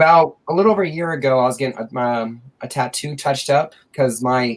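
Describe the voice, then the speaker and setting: The speaker is a man. Pitch varies in an ordinary way. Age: adult. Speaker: comic book collector and YouTuber. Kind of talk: casual chat. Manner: halting.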